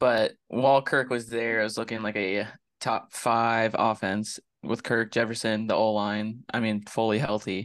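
The voice is monotone, with flat intonation and a fairly slow pace. The background is quiet. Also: man, medium pitch for a man. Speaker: sports podcast co-host. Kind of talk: casual sports chat.

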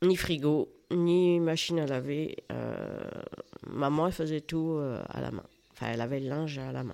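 At a fairly slow pace, a woman speaks in a very deep, low pitch with a dark, mellow tone. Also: ordinary pitch variation. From France, rural Loiret farm. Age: 60s. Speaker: grandmother sharing life story. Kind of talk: interview. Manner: halting.

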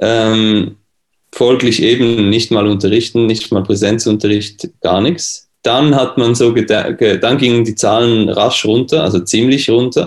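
A man talks at a very slow pace with very even loudness. His pitch is medium and his intonation fairly even. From Switzerland. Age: 20s. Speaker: pianist and music teacher. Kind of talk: casual interview.

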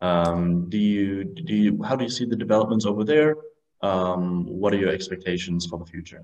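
This man speaks at a moderate pace with ordinary pitch variation. He has a German accent. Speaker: podcast host. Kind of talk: interview. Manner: halting.

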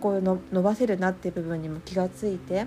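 Her pitch is medium for a woman. She talks at a moderate pace. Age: 40s. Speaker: podcast host, coaching student. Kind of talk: casual solo talk. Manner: many fillers and hesitations.

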